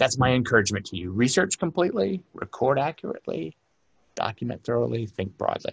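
Speaking fairly quickly with an American accent, a man with a medium pitch and a somewhat breathy voice makes very wide pitch swings against a quiet background. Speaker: librarian and archivist giving a genealogy lecture; archivist giving a genealogy lecture. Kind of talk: lecture. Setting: remote presentation from his work office. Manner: long-winded. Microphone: webcam.

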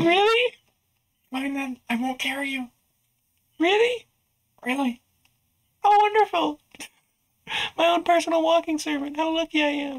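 At a moderate pace, a woman with a high pitch speaks with lively intonation and long, frequent pauses. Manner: sarcastic, huffy.

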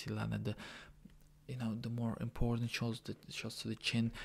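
Quiet and at a moderate pace, a man speaks. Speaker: MMA fan reacting. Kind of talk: casual MMA fight reaction to camera. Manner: quiet, low voice. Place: home room. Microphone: webcam.

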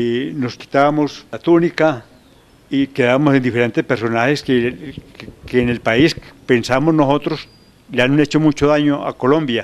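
With fairly even intonation, a man speaks at a moderate pace. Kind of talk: interview answer. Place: hall. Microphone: handheld.

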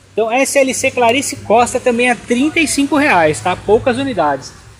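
A woman with a Brazilian accent speaks at a fairly high pitch with lively intonation. Light background noise is audible. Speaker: orchid shop seller. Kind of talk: sales pitch, street-seller style promo patter. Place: garden. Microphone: phone near.

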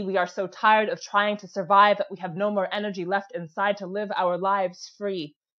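The speech moves at a moderate pace in a monotone, flat intonation over a quiet background. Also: woman. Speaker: spoken word poet. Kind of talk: spoken word performance. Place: home room. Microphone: earbuds.

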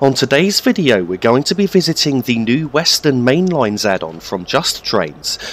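Noticeable background noise surrounds a man speaking at a moderate pace with hardly any pauses. His medium pitch makes very wide swings. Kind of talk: game walkthrough commentary. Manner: calm, explanatory.

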